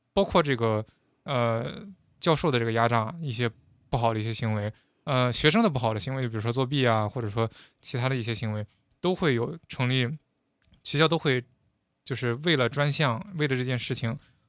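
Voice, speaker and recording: Speaking at a fairly quick pace with long, frequent pauses, a man with a medium pitch and ordinary pitch variation is captured in a very clean recording against a silent background. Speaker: former international student in the US. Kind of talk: casual chat.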